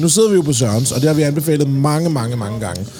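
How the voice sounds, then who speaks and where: Lively intonation from a man with a fairly high pitch, plus audible room echo and music in the background. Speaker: podcast host. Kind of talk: casual chat. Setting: pub.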